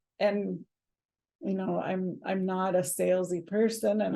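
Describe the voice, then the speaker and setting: A woman speaks with a dark, mellow tone at a medium pitch. Vocal fry marks her fairly slow delivery. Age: 60s. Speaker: podcast co-host. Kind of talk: casual chat. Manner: halting.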